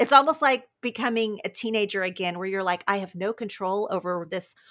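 A woman speaks with an American accent at a moderate pace. Her pitch is medium, with ordinary variation. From Oklahoma. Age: 40s. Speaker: author and podcaster. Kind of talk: interview conversation.

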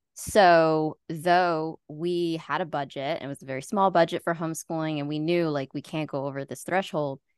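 A woman's unremarkable speaking voice, fairly low in pitch, at a moderate pace, with a dry, close sound, no echo and a quiet background. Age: 20s. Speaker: homeschool graduate and nonprofit founder. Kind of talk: interview.

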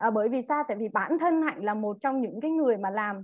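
A woman talks at a very fast pace with lively intonation and a fairly high pitch, in a dry, close sound with no echo. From Vietnam, Central Highlands (Dak Lak). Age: 30s. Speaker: direct-sales distributor. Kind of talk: training talk to audience. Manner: halting, many fillers.

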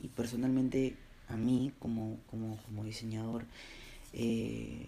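This is a man speaking at a medium pitch. Audible room echo surrounds his voice. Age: 20s. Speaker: graphic designer, podcast host. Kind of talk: solo personal monologue. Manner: hesitant, many fillers and repeated words.

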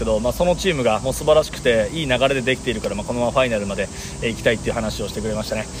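Talking at a very fast pace with lively intonation, a man is heard over noticeable background noise. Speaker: Japanese-language sports announcer. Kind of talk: casual bilingual interview. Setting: Olympic venue.

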